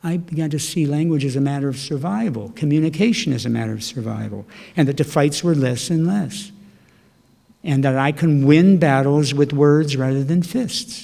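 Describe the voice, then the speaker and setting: With ordinary pitch variation, a man talks in a dark, mellow tone. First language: Slovak. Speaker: poet. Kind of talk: casual chat. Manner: animated.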